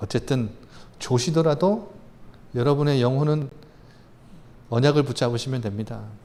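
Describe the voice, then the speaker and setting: Lively intonation marks a man's fairly high-pitched voice, which carries audible room echo. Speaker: pastor. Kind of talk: sermon. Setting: church. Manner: soft, gentle today; fast.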